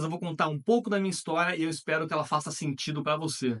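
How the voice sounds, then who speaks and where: Bright, sharp male voice, fairly high in pitch with ordinary pitch variation, at a fairly quick pace. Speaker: online content creator. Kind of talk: motivational talk to camera.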